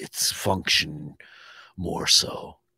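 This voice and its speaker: A man puts on a character voice and drags his words out at a very slow pace. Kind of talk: archaic fantasy speech. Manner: solemn, measured, formal.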